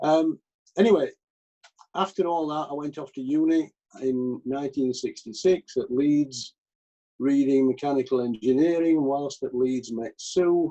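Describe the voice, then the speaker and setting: A man talks at a fairly slow pace in a Yorkshire accent. His pitch varies in an ordinary way. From Yorkshire, Pennines near Skipton. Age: 70s. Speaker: retired engineer, church member. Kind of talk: interview.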